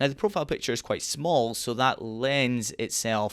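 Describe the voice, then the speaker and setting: A man with a Scottish accent talks at a moderate pace with fairly even intonation. The sound is dry and close with no echo, on a very clean recording with a silent background. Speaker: online marketing coach. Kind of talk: tutorial. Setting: dark back room at home.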